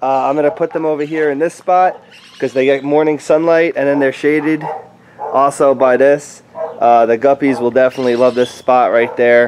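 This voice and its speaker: Fairly quick speech from a man competes with noticeable background noise. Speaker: aquarium hobbyist YouTuber. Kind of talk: casual video update.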